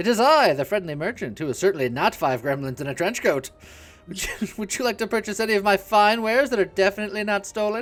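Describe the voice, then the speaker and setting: A squeaky, put-on character voice, fairly high in pitch and cheerful in tone, at a very fast pace with faint music in the background. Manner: cheerful, falsely innocent.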